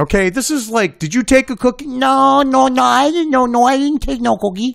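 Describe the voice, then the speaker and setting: On a very clean recording with a silent background, the voice carries an American accent. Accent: Boston accent, comes out at times. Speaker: political commentator. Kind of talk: reading aloud with commentary. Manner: animated.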